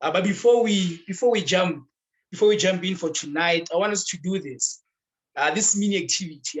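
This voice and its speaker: The pitch is high for a man. This man's voice shows ordinary pitch variation. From South Africa. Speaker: campus bible study leader. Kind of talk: online group bible teaching.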